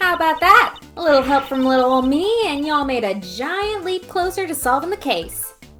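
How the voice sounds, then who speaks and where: In a put-on character voice, someone mumbles at a high pitch and a moderate pace over clear background noise. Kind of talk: folksy.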